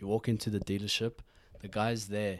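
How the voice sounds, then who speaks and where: In a very clean recording with a silent background, a man with a South African accent talks at a fairly low pitch in a dark, mellow tone. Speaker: podcast host. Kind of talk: casual chat. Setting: studio.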